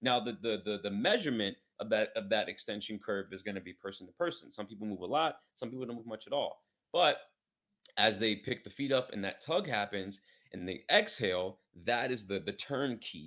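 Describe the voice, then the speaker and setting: A man speaks fairly quickly in an American accent, with medium pitch. Music plays in the background. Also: ordinary pitch variation, big swings in loudness. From New York City, Queens. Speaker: fitness coach. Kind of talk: podcast interview. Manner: fast.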